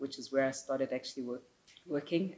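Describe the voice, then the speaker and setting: A woman talks in a very deep, low pitch with a dark, mellow tone. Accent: South African. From South Africa, Soweto, Johannesburg. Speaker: marketing executive. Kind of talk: interview.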